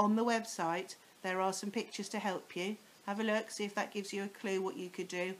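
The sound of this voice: This is an unforced reading voice. Its intonation stays fairly even.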